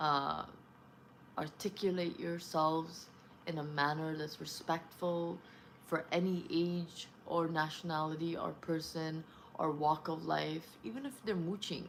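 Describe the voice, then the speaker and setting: Speaking at a fairly slow pace with a non-native accent, a woman uses a fairly low pitch and fairly even intonation. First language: not English. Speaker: vlogger. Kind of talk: casual monologue. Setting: at home, early morning. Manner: rambling, hesitant.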